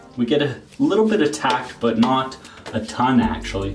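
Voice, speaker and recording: Someone with a Canadian accent speaks at a fairly slow pace with lively intonation. Music plays in the background, and room echo is audible. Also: man. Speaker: grooming product reviewer. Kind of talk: product review.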